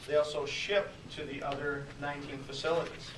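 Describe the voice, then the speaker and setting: Against noticeable background noise and audible room echo, a man speaks at a fairly high pitch with monotone, flat intonation. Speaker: salesperson presenting at a business networking meeting. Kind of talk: business presentation. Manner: soft-spoken.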